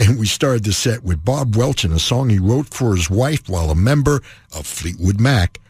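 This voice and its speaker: The man talks in a fairly low, somewhat breathy voice. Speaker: radio host. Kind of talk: radio show hosting, back-announcing track sets and station IDs. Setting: radio studio broadcast. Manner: smooth, warm, measured announcer delivery; friendly and easygoing, with brisk rundowns of artists and albums.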